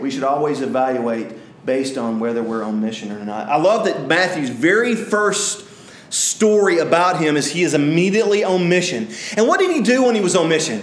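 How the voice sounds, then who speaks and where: A man with an Alabama accent, fairly high pitch, very wide pitch swings and a fairly quick pace, over noticeable background noise. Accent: Southern US (Alabama). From US South, north Alabama. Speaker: pastor. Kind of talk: sermon. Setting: church. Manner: halting, many fillers.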